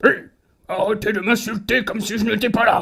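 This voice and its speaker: A raspy, cartoonish character voice talks at a moderate pace. Its intonation is monotone and flat. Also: man. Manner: bossy, pompous, easily flustered.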